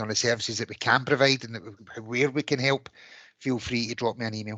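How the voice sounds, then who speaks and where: A medium-pitched man in a Glaswegian accent, fairly quick and monotone with flat intonation, bright and sharp in tone. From Scotland, Glasgow. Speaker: fire service officer. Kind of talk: community meeting.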